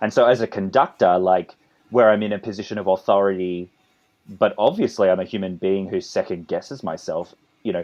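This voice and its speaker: A fairly quick man's voice with an Australian accent, fairly low in pitch and fairly even in intonation. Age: 30s. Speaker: composer and conductor. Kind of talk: interview. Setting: podcast interview. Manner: halting, with many repetitions.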